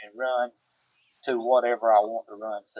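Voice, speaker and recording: A man speaks in a Southern US accent. His pitch sits in the medium range. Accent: Southern twang. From US South. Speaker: homesteader. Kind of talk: casual chat. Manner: halting.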